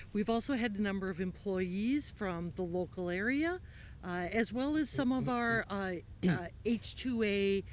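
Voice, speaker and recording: An ordinary speaking voice from a woman, medium pitch, ordinary pitch variation and a fairly slow pace, in a very clean recording with a silent background. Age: 50s. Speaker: retiring farmer. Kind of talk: interview.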